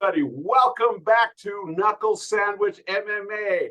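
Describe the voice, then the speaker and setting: Raising and projecting his voice, a man speaks at a fairly slow pace with a bright, sharp tone and ordinary pitch variation. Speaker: MMA podcast host. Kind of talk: casual chat. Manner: loud.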